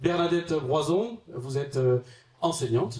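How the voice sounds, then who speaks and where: This man talks at a fairly quick pace in a dark, mellow, somewhat breathy tone. His pitch varies in an ordinary way. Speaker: local politician and debate moderator. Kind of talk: panel moderation introduction. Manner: hesitant, many fillers.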